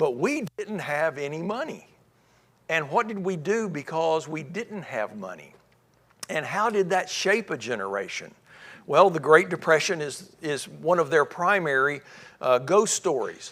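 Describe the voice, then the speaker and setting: This man speaks with a Tennessee accent, fairly high in pitch and with vocal fry. His intonation is lively and his pace fairly slow. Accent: Southern US (Tennessee). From US South (Memphis, Tennessee). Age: 60s. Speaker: church speaker. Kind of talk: lecture.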